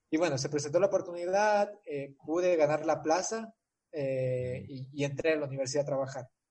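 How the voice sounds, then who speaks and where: A man with a fairly high pitch and a somewhat breathy voice talks at a moderate pace, his pitch varying in an ordinary way. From Ecuador. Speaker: civil engineer. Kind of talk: interview. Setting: video call.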